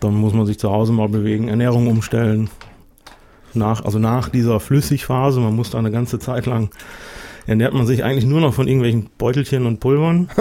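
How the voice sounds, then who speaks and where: Speaking at a fairly quick pace, a man with a medium pitch and a dark, mellow tone keeps his loudness very even and his pitch variation ordinary. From Westmünsterland, near the Dutch border. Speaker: guest planning weight-loss surgery. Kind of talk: casual chat. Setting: studio.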